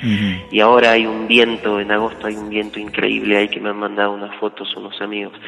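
Over noticeable background noise, a man talks at a very fast pace in a fairly low, monotone voice with flat intonation. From Argentina, Jujuy. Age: 30s. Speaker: folk singer. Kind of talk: interview.

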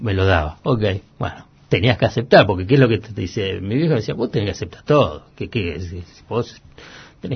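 His voice has a somewhat breathy quality. The man's delivery is moderately paced, with lively intonation. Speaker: economic journalist. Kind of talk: interview. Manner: halting, many repetitions.

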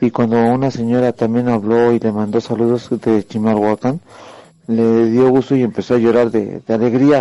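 Dark and mellow in tone, this voice moves at a moderate pace with a flat, monotone delivery and very even loudness. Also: man, medium pitch for a man. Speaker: caller. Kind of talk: update on a relative's health.

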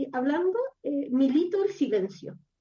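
Speaking at a moderate pace in a Chilean accent, a woman uses a high voice with a dark, mellow tone and lively intonation. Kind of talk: casual chat. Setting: at home.

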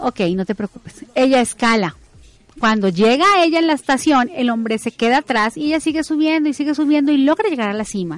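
Talking at a fairly quick pace, a woman with a high pitch moves through very wide pitch swings. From Colombia, Bogotá (family from Ibagué, Tolima). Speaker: business coach. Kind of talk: interview.

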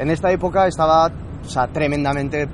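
Noticeable background noise accompanies a man whose intonation is fairly even. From southern France, Toulouse. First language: French (speaking Spanish). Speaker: pharmacist and entrepreneur. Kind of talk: interview. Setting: rooftop.

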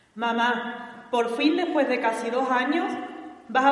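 Noticeable background noise sits behind a woman's high voice. She talks at a fairly slow pace. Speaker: daughter of the pregonera, presenting her. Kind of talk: formal introduction speech, read aloud.

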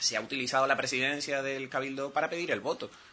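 Over noticeable background noise, a man of medium pitch talks at a very fast pace. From Canary Islands, Telde (Gran Canaria). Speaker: island councillor, opposition politician. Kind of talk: political talk radio interview.

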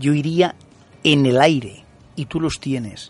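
A man speaks in a dry, close sound with no echo at all. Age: 50s. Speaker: radio co-host. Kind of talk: radio talk show. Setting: radio studio.

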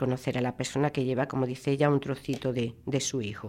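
Heard in a very clean recording with a silent background, a woman speaks in a very deep, low voice. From Spain, Andalusia (Málaga). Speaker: radio book presenter. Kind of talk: book review talk. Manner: halting.

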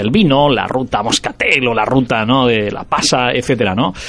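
Against noticeable background noise, a man talks with a medium pitch. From Vélez-Málaga, Andalusia. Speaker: radio host. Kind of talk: radio interview.

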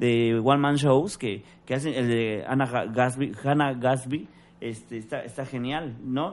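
A man talks with a Mexican accent. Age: 40s. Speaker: stand-up comedian and actor. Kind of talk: casual chat.

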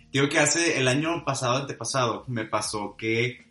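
Over music in the background, a man talks at a fairly slow pace. His pitch is medium, with ordinary variation. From Monterrey, northern Mexico. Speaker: podcast co-host. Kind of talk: casual chat.

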